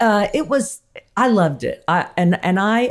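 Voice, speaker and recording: With an Alabama accent, a woman speaks at a moderate pace with lively intonation. The recording is very clean, with a silent background. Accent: Southern US (Alabama). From US South, Huntsville, Alabama. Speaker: cooking and lifestyle expert. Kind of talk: casual chat. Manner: animated.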